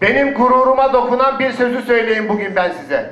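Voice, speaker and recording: A man speaks with an extremely high pitch in a passionate tone. His intonation is monotone and flat, at a moderate pace. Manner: emphatic, passionate.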